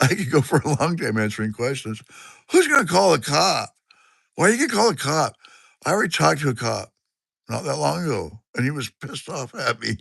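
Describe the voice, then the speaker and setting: In a Pacific Northwest accent, a man talks at a fairly quick pace against a quiet background. He still takes long, frequent pauses. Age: 60s. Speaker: livestreamer. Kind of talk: casual chat. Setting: live stream from a garage. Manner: rambling, halting.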